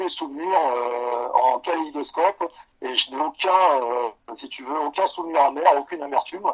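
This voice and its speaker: Ordinary pitch variation from a man talking at a fairly slow pace. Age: 40s. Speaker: police officer. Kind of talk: interview. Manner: halting.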